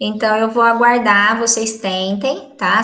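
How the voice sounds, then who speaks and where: Audible room echo carries a woman's fairly high voice as she talks at a fairly slow pace with fairly even intonation. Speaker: school math teacher. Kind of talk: online class lesson.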